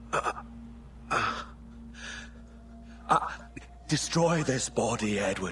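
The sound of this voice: A man puts on a character voice at medium pitch, bright and sharp in tone. He speaks at a very slow pace with lively intonation.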